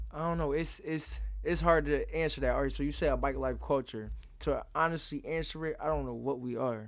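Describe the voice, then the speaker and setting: The recording is very clean and the background silent. A man's voice is heard. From Philadelphia, US. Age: 20s. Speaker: bike rider. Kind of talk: interview.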